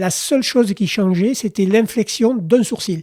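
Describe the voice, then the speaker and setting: Over a silent background in a very clean recording, a dark, mellow tone carries ordinary pitch variation. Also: man. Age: 60s. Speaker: cycling industry executive. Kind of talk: podcast interview.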